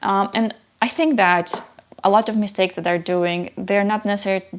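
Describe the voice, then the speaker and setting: This woman has a non-native accent. She keeps her intonation fairly even. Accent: foreign. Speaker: software engineer, tech YouTuber. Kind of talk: live stream Q&A. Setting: live stream. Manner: halting, many fillers. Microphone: new microphone, some static.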